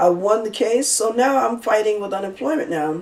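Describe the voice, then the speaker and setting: A woman speaks at a moderate pace, her medium-pitched voice rising and falling in an ordinary way. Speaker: minister and real estate broker. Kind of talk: sermon-style personal testimony. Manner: halting; soft-spoken.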